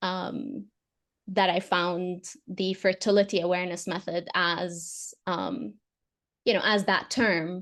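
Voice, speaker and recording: Against a quiet background, a woman with an Arabic accent speaks very slowly at a medium pitch with ordinary pitch variation. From Saudi Arabia. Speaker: fertility awareness educator. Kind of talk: podcast interview. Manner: hesitant, with fillers.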